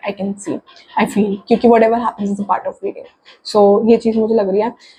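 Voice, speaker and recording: A put-on character voice, husky and hoarse, rattles along at a very fast pace with fairly even intonation. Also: woman, fairly high pitch for a woman. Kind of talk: casual Hindi-English mix.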